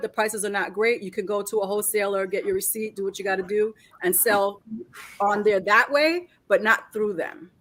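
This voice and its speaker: A woman with a New York accent speaks at a fairly quick pace and medium pitch, with ordinary pitch variation. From New York City (Queens and Brooklyn), Puerto Rican family. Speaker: reseller. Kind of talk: live stream chat.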